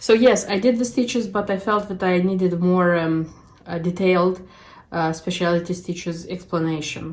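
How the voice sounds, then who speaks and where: A woman's voice with a non-native accent and fairly even intonation. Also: medium pitch for a woman, moderate pace. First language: not English. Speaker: cross stitch video creator. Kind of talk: casual show-and-tell vlog. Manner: halting, many fillers.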